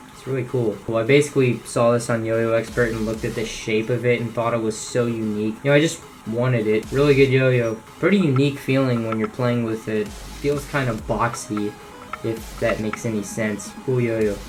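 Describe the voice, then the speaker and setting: A man's medium-pitched voice at a fairly quick pace, fairly even intonation, music in the background. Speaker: yo-yo hobbyist youtuber. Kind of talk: casual show-and-tell video. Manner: casual, with fillers.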